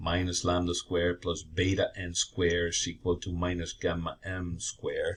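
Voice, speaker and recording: On a very clean recording with a silent background, a man with a very deep, low pitch speaks at a fairly slow pace and sounds somewhat breathy. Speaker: engineering professor. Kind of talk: lecture.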